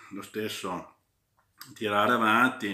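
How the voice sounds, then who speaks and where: A man's bright, sharp voice at medium pitch and very slow pace, with audible room echo against a quiet background. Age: 40s. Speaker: football fan vlogger. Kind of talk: casual match commentary vlog. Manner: hesitant, many fillers. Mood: pleased, festive. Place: home room. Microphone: phone near.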